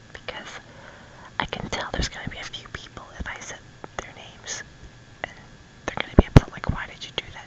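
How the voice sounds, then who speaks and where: A woman whispers with an American accent at a fairly quick pace, leaving long, frequent pauses. Her loudness swings a lot, and background noise is noticeable. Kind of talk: ASMR ramble, casual talk to camera. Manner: soft-spoken, whispered.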